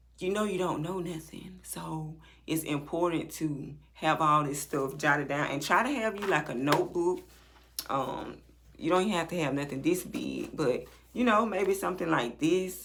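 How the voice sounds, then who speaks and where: Music plays in the background. The speaker talks at a moderate pace. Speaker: nurse. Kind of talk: tutorial. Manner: casual.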